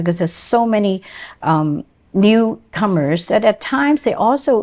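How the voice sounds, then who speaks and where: On a very clean recording with a silent background, a woman speaks at a fairly slow pace with lively intonation and a dark, mellow tone. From immigrant to Canada. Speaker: podcast host. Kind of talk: interview.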